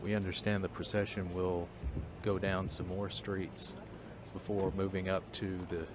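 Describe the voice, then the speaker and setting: A man whispering, with audible room echo. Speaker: TV news reporter. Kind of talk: live commentary. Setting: outdoors.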